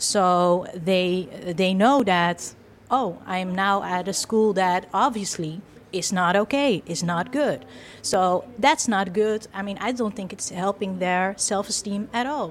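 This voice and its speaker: A woman of medium pitch at a fairly slow pace, with ordinary pitch variation. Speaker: PhD student researcher. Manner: hesitant with fillers.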